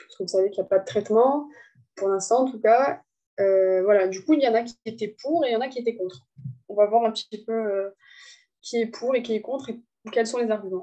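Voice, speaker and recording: With a dark, mellow tone and a fairly high pitch, a woman speaks at a fairly quick pace broken by long, frequent pauses, showing ordinary pitch variation and big swings in loudness. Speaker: student tutor. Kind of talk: lecture.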